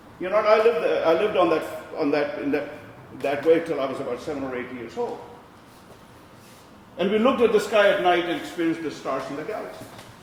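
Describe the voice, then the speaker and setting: A man's high-pitched, very fast speech with lively intonation, big swings in loudness and long, frequent pauses, amid noticeable background noise and audible room echo. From India. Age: 60s. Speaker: visual artist. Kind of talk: artist talk. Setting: gallery with audience.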